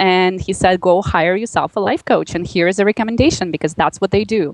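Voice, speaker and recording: Recorded dry and close with no echo, a woman with a strong Russian accent talks at a fairly quick pace, her pitch medium with ordinary variation. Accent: Russian, heavy. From Russia, Magadan. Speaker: life coach. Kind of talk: interview. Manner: animated.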